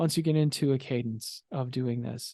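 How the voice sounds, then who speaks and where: A man at a medium pitch with a dark, mellow tone, in a dry, close sound with no echo and a quiet background. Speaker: podcast host and cosplay content creator. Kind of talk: solo talk about content creation. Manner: fast.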